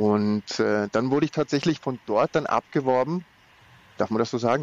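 At a moderate pace, a man talks in a plain, everyday voice at medium pitch, the sound dry and close with no echo. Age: 40s. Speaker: event marketing manager. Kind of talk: interview.

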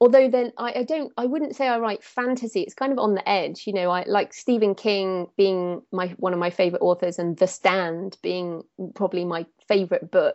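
A woman with an English accent speaks at a moderate pace. Her pitch sits in the middle range and varies in an ordinary way. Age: 30s. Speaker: thriller author. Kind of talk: interview.

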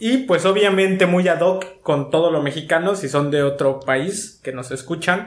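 In a room with audible echo, a man with a high pitch talks at a fairly slow pace with hardly any pauses and ordinary pitch variation. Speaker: podcast co-host. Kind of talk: casual chat. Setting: remote home studio.

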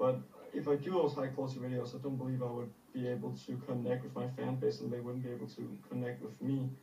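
A man at medium pitch, very fast pace, with noticeable background noise. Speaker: small YouTuber asking for advice. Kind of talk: Q&A question. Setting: video call.

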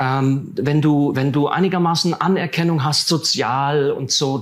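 Fairly slow speech from a man, fairly high in pitch with ordinary pitch variation, an unremarkable speaking voice. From Siegerland, western Germany. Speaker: theologian. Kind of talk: interview.

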